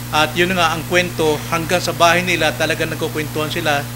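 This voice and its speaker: A man speaks with music in the background. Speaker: preacher. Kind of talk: sermon. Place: church. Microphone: podium.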